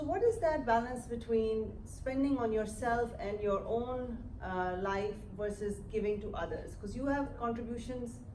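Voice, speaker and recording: A woman talks at a fairly slow pace with a fairly high pitch and ordinary pitch variation. Audible room echo surrounds her voice. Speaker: interviewer, academic. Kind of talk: on-stage interview.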